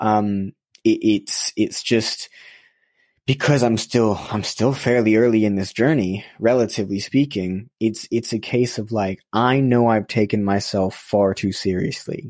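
A plain, everyday voice with an American accent moves at a fairly slow pace with ordinary pitch variation over a quiet background. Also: man. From US West Coast, then UK. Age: young. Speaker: social entrepreneur. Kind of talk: casual interview conversation. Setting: remote call.

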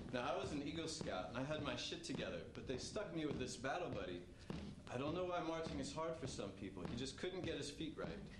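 A man races along at a very fast pace against loud background noise. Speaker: army veteran. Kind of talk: stage storytelling performance. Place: stage.

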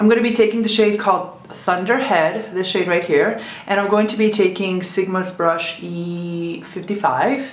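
Noticeable background noise sits behind a woman's voice. She speaks at a moderate pace with a medium pitch. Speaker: beauty vlogger. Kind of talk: makeup tutorial talk to camera.

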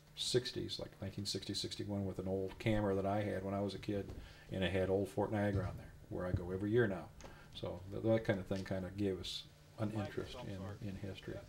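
A man's somewhat breathy, fairly low voice in a monotone, flat intonation at a very fast pace, over light background noise. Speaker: historical reenactor. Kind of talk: interview answer. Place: home room.

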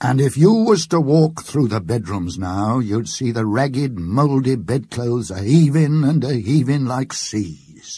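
Speaking at a very slow pace, a man with a medium-pitched, somewhat breathy voice and a dark, mellow tone is heard on a very clean recording with a silent background. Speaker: actor. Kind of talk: ghost story reading.

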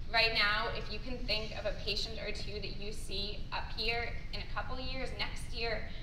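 The speaker is a woman. Noticeable background noise is present. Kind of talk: conference speech. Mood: grateful, sincere. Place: hall. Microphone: camera far.

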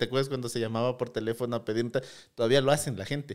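A man's fairly even intonation against a quiet background. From Ecuador, Loja province; Ecuador. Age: 30s. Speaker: tech startup CEO; guest. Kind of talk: interview. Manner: halting, many repeated words. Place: studio. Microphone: studio mic.

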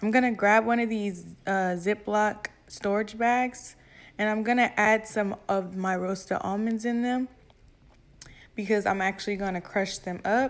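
The woman speaks at a fairly slow pace in a monotone, flat intonation. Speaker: home cook vlogger. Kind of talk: tutorial. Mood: relaxed, casual. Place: kitchen. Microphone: phone near.

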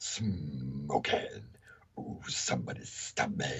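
Putting on a theatrical character voice, a man speaks very slowly in a raspy, very deep, low register. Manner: cartoonish, theatrical.

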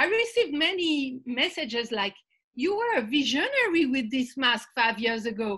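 Against a quiet background, a woman uses a raised, projected voice with a bright, sharp tone at a fairly slow pace. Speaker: arts and environment campaigner panelist. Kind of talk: panel discussion. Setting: video call. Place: home room. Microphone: video call.

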